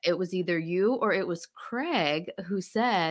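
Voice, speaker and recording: Here is a woman with an unremarkable speaking voice and an American accent. Her medium pitch moves with lively intonation. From US South, Alabama/Florida. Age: 40s. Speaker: skincare entrepreneur. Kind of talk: interview. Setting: video call.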